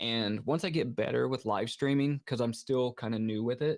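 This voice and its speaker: A man speaks at a medium pitch with an American accent and vocal fry. The recording is very clean, with a silent background. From United States. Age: 30s. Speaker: horror movie streamer. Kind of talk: casual livestream chat. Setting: livestream from home setup. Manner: casual, hesitant with many fillers.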